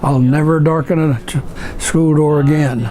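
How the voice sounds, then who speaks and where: A man with a Midwestern American accent speaks at a fairly slow pace with fairly even intonation over noticeable background noise. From rural Ohio. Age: 80s+. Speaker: evangelist missionary. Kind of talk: interview answer.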